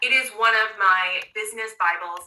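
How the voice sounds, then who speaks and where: A woman's fairly high voice with an animated, passionate tone and ordinary pitch variation, over noticeable background noise. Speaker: coach running a manifestation master class. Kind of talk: online class presentation. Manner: fast.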